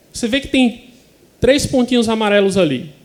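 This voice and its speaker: With a northeastern Brazilian accent, a man with a high pitch talks at a moderate pace using lively intonation. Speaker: occupational physician. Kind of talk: conference presentation.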